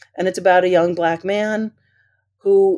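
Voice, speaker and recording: At a moderate pace, a woman talks in a dark, mellow tone. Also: very clean recording, silent background. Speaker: high school English teacher. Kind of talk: interview podcast.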